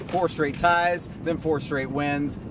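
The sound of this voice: Over clear background noise, a man with a fairly high voice speaks at a slow pace with fairly even intonation.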